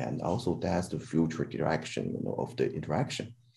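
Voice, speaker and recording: A dark, mellow tone with vocal fry, in a Chinese accent at a moderate pace. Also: man. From China. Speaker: robotics scientist. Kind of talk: panel discussion. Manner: halting.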